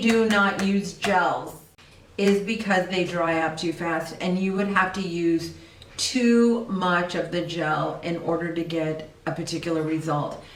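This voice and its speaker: With noticeable background noise and audible room echo, a woman speaks at a fairly slow pace. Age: 60s. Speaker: esthetician. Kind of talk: tutorial. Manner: casual.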